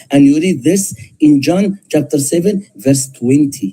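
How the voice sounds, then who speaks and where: Dark and mellow in tone, a man talks at a fairly slow pace with lively intonation. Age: 60s. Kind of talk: heated debate.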